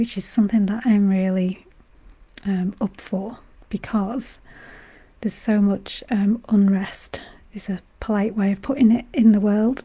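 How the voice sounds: At a fairly slow pace, the voice carries a dark, mellow tone with a slightly husky edge and fairly even intonation. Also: woman, medium pitch for a woman.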